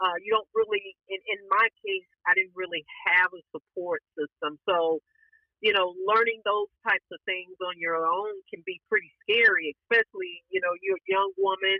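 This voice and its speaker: With a Southern US accent, a woman speaks at a medium pitch and a moderate pace, her intonation fairly even. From Alabama, Appalachian US South. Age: 50s. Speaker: trauma survivor, podcast guest. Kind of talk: interview answer.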